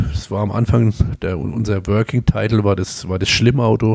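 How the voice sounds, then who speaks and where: A man with a Palatine accent, a fairly low pitch and a dark, mellow tone. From Palatinate, Germany (Kaiserslautern). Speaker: emergency physician. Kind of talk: interview.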